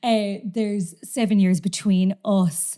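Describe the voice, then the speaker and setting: Very clean and set against a silent background, this recording features a woman with a Cork accent. Her tone is dark and mellow. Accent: Cork Irish. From Ireland, Cork (Glanmire). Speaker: actor and comedian. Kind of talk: casual chat.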